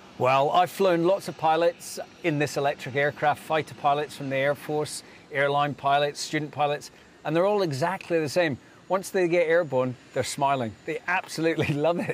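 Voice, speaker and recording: A man talks at a moderate pace with ordinary pitch variation, and the sound is dry with no echo. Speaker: interviewee. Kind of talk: interview answer. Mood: upbeat, enthusiastic. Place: open country. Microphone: lapel.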